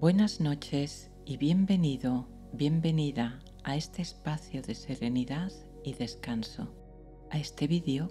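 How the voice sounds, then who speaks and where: Over background music, a woman with a very deep, low voice speaks at a fairly slow pace in a calm tone, her intonation lively. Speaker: psychologist and meditation guide. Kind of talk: guided sleep meditation. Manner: slow, calm, soft-spoken.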